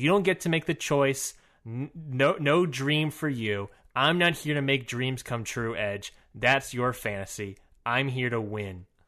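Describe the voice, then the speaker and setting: With a bright, sharp tone and lively intonation, a man speaks at a medium pitch and a fairly slow pace against a quiet background. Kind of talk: mock auction bidding banter, playful bit.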